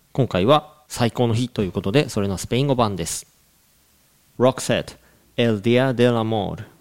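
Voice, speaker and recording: A man's medium-pitched voice, an unremarkable speaking voice with ordinary pitch variation. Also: fairly slow pace. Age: 40s. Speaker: English coach and podcast co-host. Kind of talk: casual chat with explanatory talk.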